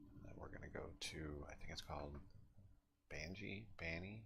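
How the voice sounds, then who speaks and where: The voice is quiet. It moves at a moderate pace. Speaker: video game streamer. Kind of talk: casual gameplay commentary. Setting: at home, others asleep nearby.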